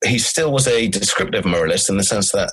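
A man with a southern English accent at a fairly quick pace. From Cornwall, southwest England. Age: 30s. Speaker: philosopher. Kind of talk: interview. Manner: halting.

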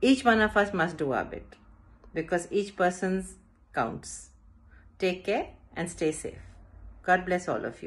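With an Indian accent, a woman speaks fairly slowly, her voice showing vocal fry. Her loudness swings widely, and she pauses long and often. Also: ordinary pitch variation. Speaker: school director. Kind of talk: prepared address. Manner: formal. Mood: solemn, respectful. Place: home room. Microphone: phone near.

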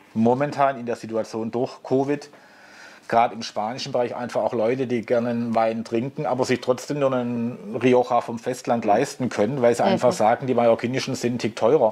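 A man keeps his intonation fairly even, with a quiet background behind him. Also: fairly quick pace. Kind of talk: interview answer. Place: shop.

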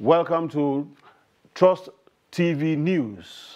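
The setting is quiet. A man does the talking. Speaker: news anchor. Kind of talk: news reading. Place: studio. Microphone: lapel.

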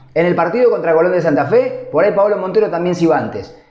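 Audible room echo carries the slightly mellow tone of a man's voice.

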